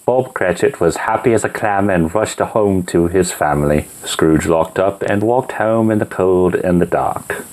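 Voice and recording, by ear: In a natural voice, someone reads aloud, the pitch moving an ordinary amount.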